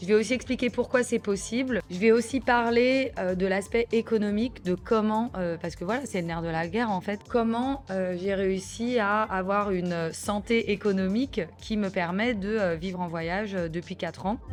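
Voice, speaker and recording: A woman speaks at a moderate pace with hardly any pauses, her pitch medium and its variation ordinary. Music plays in the background. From France, Lyon. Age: 30s. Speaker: travel podcaster, digital nomad. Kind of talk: podcast monologue. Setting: recording abroad in Cambodia. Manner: casual with many hesitations (euh).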